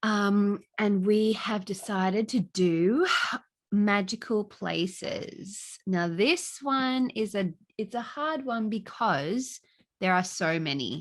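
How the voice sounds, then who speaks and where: A medium-pitched woman with an Australian accent, very slow and lively in intonation, against a quiet background. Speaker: podcast co-host. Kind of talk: casual chat.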